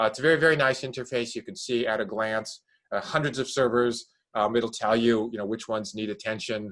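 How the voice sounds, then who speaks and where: Speaking very fast, a man with a medium pitch shows ordinary pitch variation. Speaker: product and marketing executive. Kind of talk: product presentation. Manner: hesitant, many fillers.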